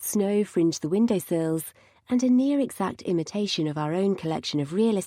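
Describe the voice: It is plain reading aloud. The intonation is lively.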